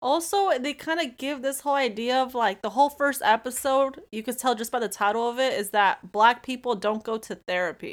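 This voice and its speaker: A woman speaks at a high pitch with hardly any pauses. The recording is very clean, with a silent background. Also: lively intonation, fairly quick pace. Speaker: podcast guest. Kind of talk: casual chat.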